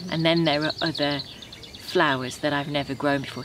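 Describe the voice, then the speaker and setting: The sound is dry, with no echo, and there is light background noise. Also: woman. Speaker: home gardener vlogger. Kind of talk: casual vlog chat. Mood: calm, reflective, content. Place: garden.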